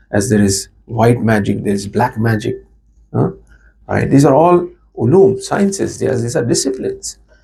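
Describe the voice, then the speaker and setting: A man talks at a moderate pace with a medium pitch and a dark, mellow tone. His voice is somewhat breathy, and his intonation is lively. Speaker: Shia cleric giving a religious lecture. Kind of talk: religious lecture.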